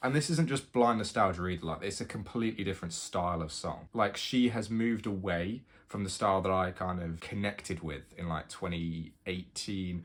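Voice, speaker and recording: Speaking at a moderate pace with hardly any pauses, a man with a British accent has a very deep, low pitch and ordinary pitch variation, captured on a very clean recording with a silent background. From United Kingdom. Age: 20s. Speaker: university student. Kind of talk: casual talk to camera.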